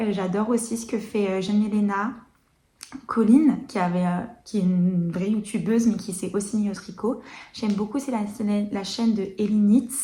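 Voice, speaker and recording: Amid audible room echo, a woman speaks at a moderate pace and medium pitch, her tone dark, mellow and somewhat breathy, with fairly even intonation. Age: 20s. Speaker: knitting podcaster. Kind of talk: casual chat. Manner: hesitant, many fillers.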